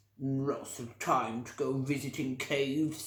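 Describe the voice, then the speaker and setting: Using a put-on character voice, a man delivers flat, monotone lines at medium pitch and a fairly slow pace. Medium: read story. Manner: mouth full, munching.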